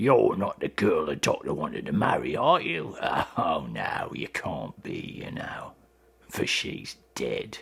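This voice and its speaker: Raspy and put-on, a man's character voice unfolds at a fairly slow pace. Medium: read story. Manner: abrupt, changing moods.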